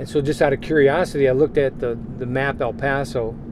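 A man with an American accent talks at a fairly quick pace. Noticeable background noise runs behind him. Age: 60s. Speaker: pastor running an orphanage. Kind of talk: interview. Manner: emotional, choking up; halting.

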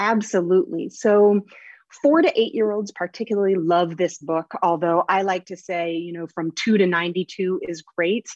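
With an American accent, a woman talks at a moderate pace in a medium pitch, using fairly even intonation and an ordinary speaking voice. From Oregon, US. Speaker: children's author. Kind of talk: interview.

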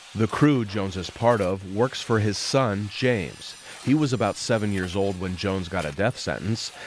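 A man speaks at a moderate pace with hardly any pauses, his pitch fairly low and his pitch variation ordinary, in an unremarkable speaking voice. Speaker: radio reporter.

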